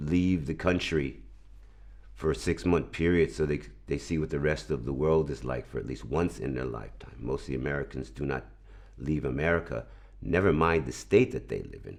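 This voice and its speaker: A man with a New York accent and a very deep, low pitch speaks with lively intonation and vocal fry. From New York, Brooklyn. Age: 60s. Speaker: video editor. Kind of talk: interview. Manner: hesitant, repeats words.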